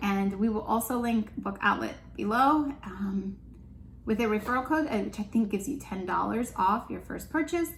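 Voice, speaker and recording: There is a somewhat breathy quality here. The intonation stays lively throughout. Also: woman. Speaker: homeschooling parent and channel host. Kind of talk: casual chat. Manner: fast.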